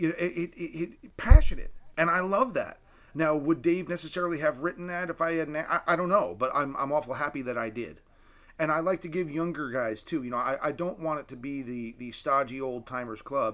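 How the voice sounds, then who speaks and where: In an unremarkable speaking voice, a man talks at a fairly quick pace and fairly high pitch, with ordinary pitch variation and big swings in loudness, on a very clean recording with a silent background. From Canada. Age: 50s. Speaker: gun writer and editor, TV host. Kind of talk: casual interview chat.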